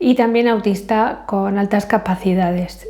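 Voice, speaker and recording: The woman's tone is dark and mellow. She keeps a moderate pace and fairly even intonation. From Spain. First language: English (speaking Spanish). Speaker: vlogger. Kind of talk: casual vlog monologue. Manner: hesitant, many fillers.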